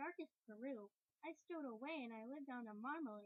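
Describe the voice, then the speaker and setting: This woman uses a put-on character voice at a high pitch. She talks at a fairly quick pace. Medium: read story. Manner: polite.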